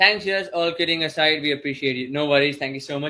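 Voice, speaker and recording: Here a man is speaking. His pitch is fairly high. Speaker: online course instructor. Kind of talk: live webinar Q&A. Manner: fast.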